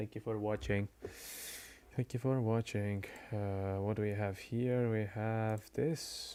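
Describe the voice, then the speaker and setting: Soft-spoken and very slow, a man with a fairly low pitch and a dark, mellow tone keeps a fairly even intonation in a very clean recording with a silent background. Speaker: game commentator and streamer. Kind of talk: live commentary. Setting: live stream. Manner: halting.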